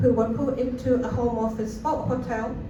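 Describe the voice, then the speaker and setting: High-pitched, with fairly even intonation, a woman speaks amid noticeable background noise and audible room echo. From Scotland, Cowdenbeath (Fife) after early childhood in Chile. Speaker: refugee support worker. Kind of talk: rally speech.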